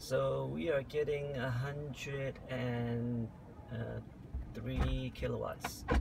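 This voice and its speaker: A man over loud background noise. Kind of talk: casual vlog chat. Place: car.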